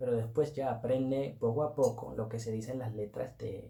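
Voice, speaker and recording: A somewhat breathy voice with a dark, mellow tone moves at a moderate pace. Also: man. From Netherlands, Turkish family. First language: Turkish or Dutch (speaking Spanish). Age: 20s. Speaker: Spanish learner vlogger. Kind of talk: personal story vlog. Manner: casual, conversational.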